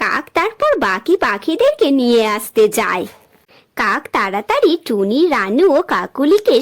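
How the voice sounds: A woman speaks at a moderate pace. Her pitch swings a lot.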